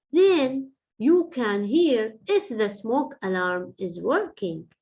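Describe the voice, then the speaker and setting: A woman's put-on character voice, fairly high, with very wide pitch swings at a fairly slow pace. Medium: read story. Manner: bossy.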